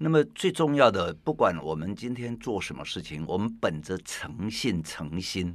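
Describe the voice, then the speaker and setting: A man's fairly low voice with very wide pitch swings and hardly any pauses, over a quiet background. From Taiwan. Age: 60s. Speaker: tea teacher and author. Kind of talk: casual interview.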